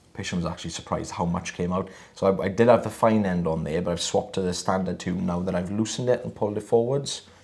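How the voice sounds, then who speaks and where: This is a put-on character voice with a husky sound. It moves at a very fast pace. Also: man, very deep, low pitch for a man. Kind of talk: casual, professional demonstration to viewers.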